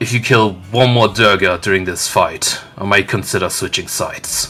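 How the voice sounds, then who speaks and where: Growling in a put-on character voice, a man holds a fairly low pitch and a moderate pace over faint background music. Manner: menacing, low-voiced.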